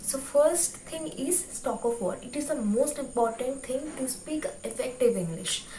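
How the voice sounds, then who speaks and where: A woman with a Bengali accent speaks at a fairly slow pace and high pitch. Noticeable background noise and audible room echo surround her. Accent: Bengali-accented Indian English. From India, West Bengal. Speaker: YouTuber, book reviewer. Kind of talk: tutorial. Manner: hesitant, many fillers.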